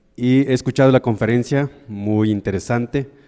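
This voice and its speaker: A man's medium-pitched voice with a dark, mellow tone, ordinary pitch variation and a Mexican accent, at a moderate pace. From Mexico, Huasteca region of Hidalgo. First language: Nahuatl (speaking Spanish). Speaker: audience member asking a question. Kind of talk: audience question at a lecture.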